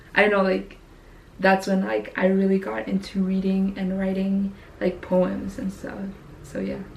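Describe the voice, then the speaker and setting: Through noticeable background noise, a woman speaks with monotone, flat intonation. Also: medium pitch for a woman, fairly slow pace. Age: 20s. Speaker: YouTuber. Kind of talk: casual vlog monologue. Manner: casual, many fillers ('like').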